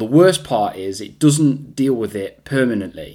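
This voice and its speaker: With an East Midlands accent, a man talks at a moderate pace and with lively intonation, recorded very cleanly against a silent background. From England, Derby. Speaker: podcast host. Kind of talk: motivational monologue.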